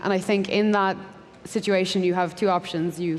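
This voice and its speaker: A woman speaks with a Dublin accent. Noticeable background noise runs behind her. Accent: Irish (Dublin). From Ireland (Dublin). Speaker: software engineer. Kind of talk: panel discussion.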